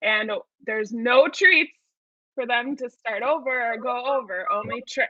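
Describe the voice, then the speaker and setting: A woman with a Wisconsin accent, high in pitch, at a moderate pace with ordinary pitch variation, in a dry sound with no echo and a quiet background. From Wisconsin, US Midwest. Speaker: event host. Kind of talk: event hosting, partly scripted. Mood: upbeat, friendly. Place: home room.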